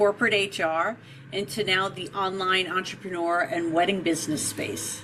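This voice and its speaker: A woman with a New York accent talks over noticeable background noise. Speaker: podcast host, marketing expert. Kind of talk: interview.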